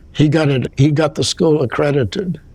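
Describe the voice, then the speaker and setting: Over noticeable background noise, a man is talking. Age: 80s+. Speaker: retired lawyer, law school alumnus. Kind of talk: interview. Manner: halting.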